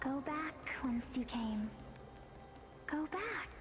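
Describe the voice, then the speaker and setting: This is a put-on character voice. Loud background noise is present throughout. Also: female-sounding voice, high pitch for a woman. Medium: game stream.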